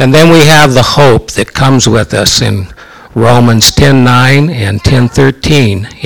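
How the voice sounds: The clip features a natural reading voice with ordinary pitch variation.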